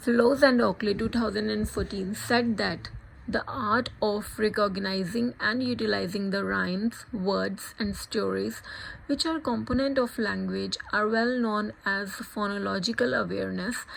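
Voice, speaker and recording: A woman with a Punjabi accent at a fairly slow pace. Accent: Indian English, Punjabi. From India, Punjab. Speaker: student. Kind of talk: scripted narration.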